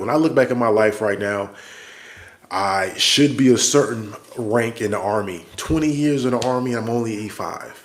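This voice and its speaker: A man speaks at a moderate pace with fairly even intonation. Noticeable background noise and audible room echo surround him. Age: 40s. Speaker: army soldier and vlogger. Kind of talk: livestream monologue. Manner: casual, conversational.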